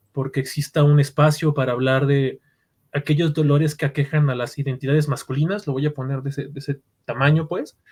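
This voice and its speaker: A man speaks with a Mexican accent at a fairly quick pace, his voice somewhat breathy. His pitch sits fairly high, and his intonation stays monotone and flat. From Mexico. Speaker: podcast host, psychologist and narrative therapist. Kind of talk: podcast interview.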